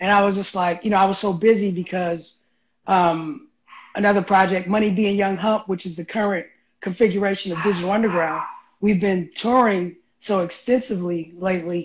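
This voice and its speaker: A man speaks at a fairly quick pace with a high pitch and fairly even intonation. Noticeable background noise runs behind him. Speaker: remote guest. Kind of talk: interview answer. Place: home room. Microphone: video call.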